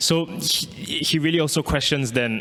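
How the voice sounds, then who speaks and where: Speaking with a Malaysian accent, a man keeps a moderate pace and ordinary pitch variation. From Singapore. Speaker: artist. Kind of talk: artist talk. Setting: pre-recorded video. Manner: halting, with repetitions.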